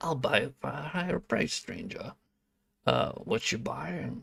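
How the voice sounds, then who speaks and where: At a fairly slow pace, a man puts on a character voice pitched fairly high. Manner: imitation, self-described as terrible.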